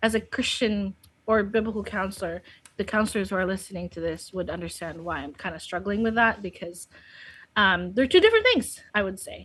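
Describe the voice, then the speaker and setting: A woman speaks at a medium pitch with a Filipino accent. Her pace is fairly quick, with ordinary pitch variation and big swings in loudness. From Philippines, Laoag City. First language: Filipino (Ilocano/Tagalog). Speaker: biblical counselor. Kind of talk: podcast interview.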